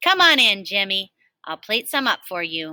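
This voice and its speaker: A female-sounding, put-on character voice speaks at a medium pitch. The recording is very clean, with a silent background. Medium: read story. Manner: folksy, warm.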